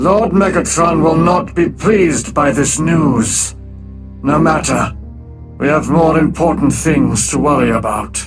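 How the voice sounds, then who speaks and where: A man's put-on character voice, fairly high-pitched, at a fairly slow pace over clear background music. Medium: audio drama. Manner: calm, clipped.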